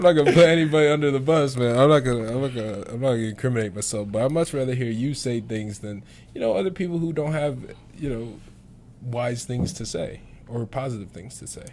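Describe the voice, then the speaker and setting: A man with an American accent speaks at a very fast pace and medium pitch, with ordinary pitch variation and big swings in loudness, in audible room echo. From Syracuse, New York. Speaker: podcast host and college basketball player. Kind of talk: casual chat.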